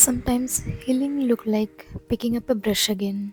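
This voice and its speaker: Music plays in the background as a soft-spoken woman talks at a fairly slow pace and fairly high pitch with fairly even intonation. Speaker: art vlogger. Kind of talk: reflective voiceover narration.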